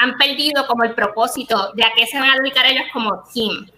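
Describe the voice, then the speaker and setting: A woman projects a raised voice at a high pitch. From Puerto Rico. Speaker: podcast host. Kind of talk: casual chat.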